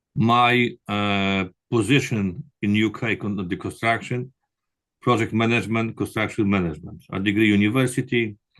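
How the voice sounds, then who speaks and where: A man at a fairly low pitch with ordinary pitch variation, a moderate pace and a quiet background. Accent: Polish. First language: Polish. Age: 60s. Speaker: construction manager and prospective doctoral student. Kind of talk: interview. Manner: halting.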